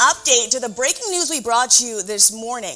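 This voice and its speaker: A woman talking very fast amid noticeable background noise. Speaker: TV news reporter and anchor. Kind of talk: news anchor desk read. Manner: measured, clear.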